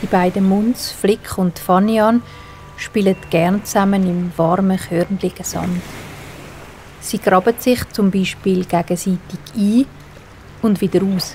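A woman with a medium pitch speaks in a calm, soothing tone with fairly even intonation, at a very slow pace with long, frequent pauses. Noticeable background noise is present. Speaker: storyteller. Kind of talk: bedtime story for children.

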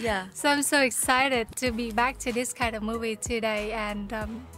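Over clear background music, a woman speaks at a moderate pace with monotone, flat intonation and a dry sound with no echo. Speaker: reaction channel host. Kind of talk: casual vlog intro. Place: home room.

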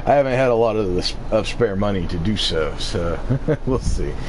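A man talks at a moderate pace with ordinary pitch variation. Noticeable background noise sits behind him. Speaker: streamer. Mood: relaxed, slightly resigned. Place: home room.

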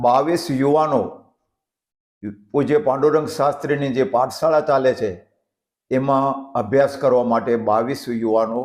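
Fairly level intonation runs through an unremarkable speaking voice. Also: man, medium pitch for a man, very even loudness. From Siyot village, Kutch, Gujarat. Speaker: village elder, sawmill owner. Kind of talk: interview.

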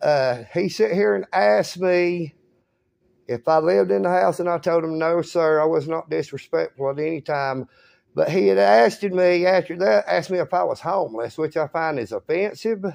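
A man speaks at a moderate pace with lively intonation. The background is quiet. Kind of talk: complaint told to a clerk. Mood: aggrieved, insistent. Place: office. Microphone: phone near.

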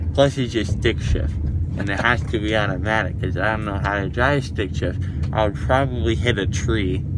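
A man at a moderate pace with loud background noise and a dry sound with no echo. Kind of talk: casual vlog chat. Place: car. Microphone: phone near.

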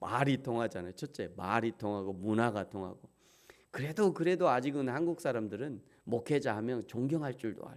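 In an ordinary speaking voice, a man at medium pitch talks at a moderate pace with lively intonation and big swings in loudness. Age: 50s. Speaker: pastor. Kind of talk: sermon.

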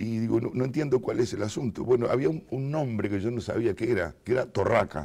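With a dark, mellow tone and lively intonation, a man talks at a fairly quick pace with hardly any pauses against a quiet background. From Uruguay, Montevideo; Uruguay. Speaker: writer; interviewee. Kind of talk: interview. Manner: halting, many fillers. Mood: relaxed, amused storytelling. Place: studio. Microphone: lapel.

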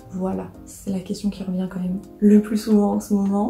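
In a room with audible echo, a woman speaks at a fairly slow pace while faint music plays in the background. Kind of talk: casual vlog chat. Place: home room. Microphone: phone near.

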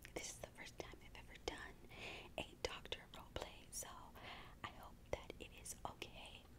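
A woman talks at a fairly slow pace. Background noise is noticeable. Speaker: ASMR creator. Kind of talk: ASMR doctor role-play.

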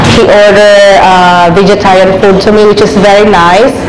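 At a moderate pace, a woman speaks in monotone, flat intonation with noticeable background noise. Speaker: vlogger. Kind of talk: casual vlog chat. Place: cafe. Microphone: lapel.

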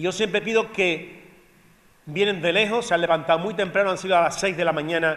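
This man's voice sits high in pitch for a man and has ordinary pitch variation. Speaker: presenter. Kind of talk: address to audience. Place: stage. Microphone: handheld.

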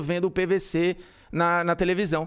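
A high-pitched man's voice in a Ceará accent, at a fairly slow pace. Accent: Northeastern Brazilian (Ceará). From Ceará, Brazil. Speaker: sports commentator. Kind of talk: casual chat.

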